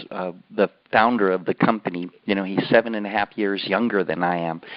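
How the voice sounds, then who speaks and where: A man with an American accent speaks in an ordinary speaking voice. He talks at a fairly quick pace with fairly even intonation. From California. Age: 60s. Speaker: company co-founder and call host. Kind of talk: conference call hosting. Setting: phone conference call.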